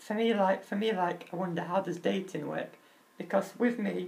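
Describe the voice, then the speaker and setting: A man talks at a moderate pace with noticeable noise in the background. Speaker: vlogger with muscular dystrophy. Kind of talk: personal vlog talk.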